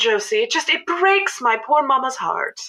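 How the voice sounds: A woman's put-on character voice, high in pitch, bright and sharp in tone, with big pitch swings. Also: moderate pace.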